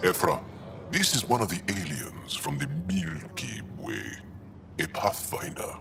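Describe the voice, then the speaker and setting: In a put-on character voice, a man speaks at a very deep, low pitch and a fairly slow pace, with clear background noise. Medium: video game.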